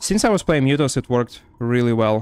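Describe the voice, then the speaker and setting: Over music in the background, a man with a strong Russian accent talks at a medium pitch in a dry, close sound with no echo. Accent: heavy Russian. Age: 20s. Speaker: gaming streamer. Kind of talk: casual chat; live gameplay commentary. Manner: casual, filler-heavy.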